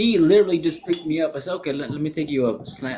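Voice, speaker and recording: This man's voice sits at a fairly high pitch and has lively intonation. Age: 40s. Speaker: podcast host. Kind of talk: casual chat. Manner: animated.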